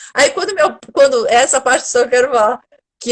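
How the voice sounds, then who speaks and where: A woman's tone is animated, and her pitch varies in an ordinary way. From Brazil, Bahia (Salvador). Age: 40s. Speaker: actress and theatre researcher. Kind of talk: casual interview conversation.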